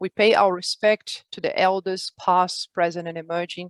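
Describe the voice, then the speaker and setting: A woman speaks with a Brazilian accent at a fairly low pitch in a monotone, flat way. The sound is dry and close, with no echo. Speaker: community host and executive coach. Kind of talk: online meeting introduction. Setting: video call. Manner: hesitant, many fillers.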